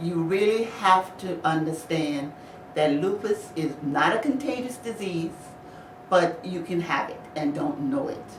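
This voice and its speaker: A woman speaks at a fairly slow pace with a fairly low pitch and lively intonation. Noticeable background noise and audible room echo surround her. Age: 60s. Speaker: lupus patient. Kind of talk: interview.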